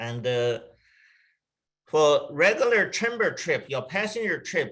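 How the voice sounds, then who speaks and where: A man with a Chinese accent, fairly high in pitch, bright and sharp in tone, with very wide pitch swings. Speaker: travel company executive. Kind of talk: webinar presentation. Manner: halting.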